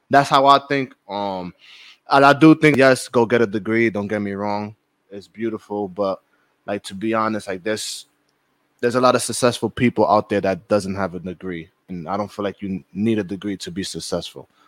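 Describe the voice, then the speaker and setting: Here a man with an ordinary speaking voice talks at a fairly quick pace, fairly low in pitch, with ordinary pitch variation. His loudness swings widely, and the sound is dry and close with no echo. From the Bronx, New York. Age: 20s. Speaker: record label artist. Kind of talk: casual interview chat.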